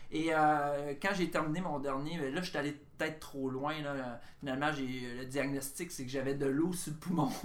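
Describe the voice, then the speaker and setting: Against noticeable background noise and audible room echo, a man with a fairly high pitch talks at a moderate pace with fairly even intonation and hardly any pauses. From Quebec, Bas-Saint-Laurent (Rimouski). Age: 50s. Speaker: comedian. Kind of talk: casual chat.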